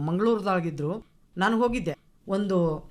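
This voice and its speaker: Lively intonation marks this woman's medium-pitched voice, which is a plain, everyday voice. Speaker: retired lecturer, program compere. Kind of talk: radio panel discussion.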